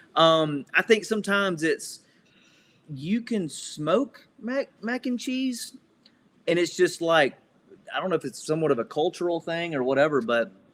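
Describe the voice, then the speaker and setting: A high-pitched man with a Southern US accent, very wide pitch swings, and a moderate pace. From US South. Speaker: grill cook and TV food guest. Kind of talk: casual chat. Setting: podcast interview.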